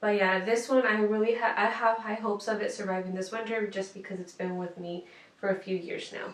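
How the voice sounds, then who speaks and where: At a fairly quick pace, a woman speaks at a medium pitch in a flat monotone, with audible room echo. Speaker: lifestyle vlogger; plant vlogger. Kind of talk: casual show-and-tell tutorial. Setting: home room. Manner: casual with fillers. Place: home room.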